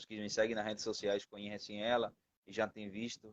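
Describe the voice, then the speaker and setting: A man with a fairly low pitch speaks flatly and monotonously at a fairly quick pace, with a dry, close sound and no echo. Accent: Spanish. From Venezuela. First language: Spanish (speaking Portuguese). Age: 20s. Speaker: missionary. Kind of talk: testimony. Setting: live stream.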